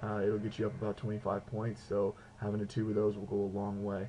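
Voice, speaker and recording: A man speaks at a fairly quick pace with a fairly low pitch. His voice is somewhat breathy, with a dark, mellow tone. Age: 20s. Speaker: video blogger, student with diabetes. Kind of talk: video blog tutorial. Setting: home apartment. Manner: casual, filler-heavy.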